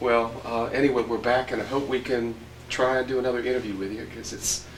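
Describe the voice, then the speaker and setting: Noticeable background noise sits behind a man with a medium pitch who talks at a fairly quick pace. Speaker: oral history interviewer. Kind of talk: interview questions.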